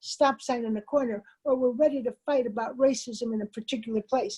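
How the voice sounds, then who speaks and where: The voice has a dark, mellow tone and an American accent, with ordinary pitch variation at a moderate pace. The sound is dry and close, with no echo. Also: woman. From Chicago, US Midwest. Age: 70s. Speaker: community organizer. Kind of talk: keynote speech with Q&A. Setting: webinar. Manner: animated.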